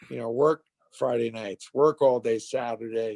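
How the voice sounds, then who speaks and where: A man's plain, everyday voice at a fairly slow pace, with ordinary pitch variation and a dry, close sound with no echo. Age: 60s. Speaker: entrepreneur and author. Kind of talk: interview. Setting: podcast.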